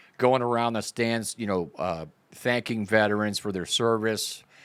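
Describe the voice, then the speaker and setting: A man with a normal speaking voice talks at a fairly slow pace, his fairly low pitch carried by fairly even intonation. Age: 60s. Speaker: podcast host, army veteran. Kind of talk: casual interview. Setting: podcast.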